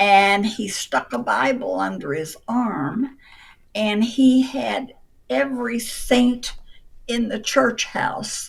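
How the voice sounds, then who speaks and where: Speaking at a very slow pace, a woman uses a fairly high pitch with vocal fry. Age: 80s+. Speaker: retired real estate appraiser. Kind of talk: interview answer.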